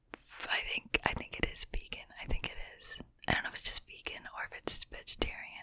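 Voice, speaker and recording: Soft-spoken and whispering, a woman talks at a fairly quick pace with big swings in loudness. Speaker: ASMR creator. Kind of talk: soft ASMR chat and trigger words. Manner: soft close-mic whisper. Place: home room. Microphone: studio mic.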